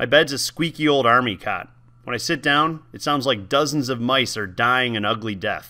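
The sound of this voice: With ordinary pitch variation, an unforced reading voice goes through the text.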